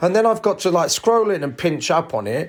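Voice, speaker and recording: A man with a British accent at a fairly quick pace, in a very clean recording with a silent background. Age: 60s. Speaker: podcast host, entertainer. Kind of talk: solo podcast rant. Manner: animated.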